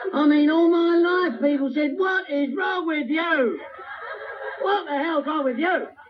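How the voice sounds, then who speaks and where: Shouting at an extremely high pitch with ordinary pitch variation, a man is heard over noticeable background noise and audible room echo. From England, northwest London. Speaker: recovery speaker. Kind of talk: recovery talk to a meeting audience. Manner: animated.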